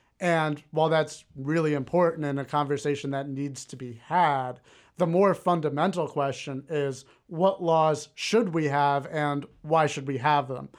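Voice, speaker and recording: On a very clean recording with a silent background, a man takes a fairly slow pace. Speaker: moderator and media producer. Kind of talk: heated debate.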